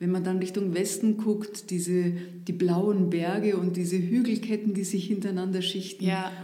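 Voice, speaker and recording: With an Upper Bavarian accent, a woman speaks at a medium pitch and moderate pace. Her intonation is monotone and flat, and there is audible room echo. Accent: Upper Bavarian intonation, rolled R. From Upper Bavaria, northeast of Munich. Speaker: former district administrator. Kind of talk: casual interview. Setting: studio.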